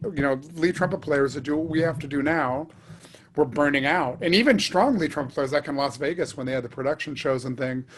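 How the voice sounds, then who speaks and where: A man talks at a fairly quick pace in an ordinary speaking voice. His pitch is fairly high, with ordinary variation. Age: 60s. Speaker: trumpet player. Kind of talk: casual chat.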